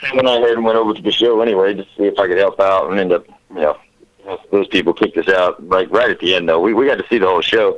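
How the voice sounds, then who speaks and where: A man with a Louisiana accent talks at a very fast pace. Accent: Southern US (Louisiana). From Southwest Louisiana. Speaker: DJ and music producer. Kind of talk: casual interview chat.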